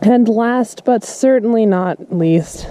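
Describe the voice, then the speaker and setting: A woman talks, her pitch varying in an ordinary way, with noticeable noise in the background. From Canada, northern British Columbia. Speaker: professional basketball player and vlogger. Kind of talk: casual vlog.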